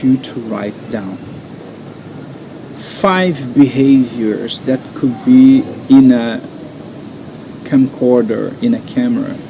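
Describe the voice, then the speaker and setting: Against noticeable background noise, a man with a Brazilian accent speaks at a very slow pace with ordinary pitch variation. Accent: non-native English, Brazilian Portuguese. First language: Portuguese. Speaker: NLP coach and hypnotherapist. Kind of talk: guided coaching exercise. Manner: halting.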